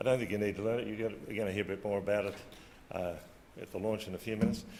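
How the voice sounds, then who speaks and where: In a room with audible echo, a man with a fairly low pitch speaks at a very fast pace with fairly even intonation. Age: 60s. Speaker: agriculture policy official. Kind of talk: conference talk. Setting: conference stage with audience. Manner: hesitant, many fillers.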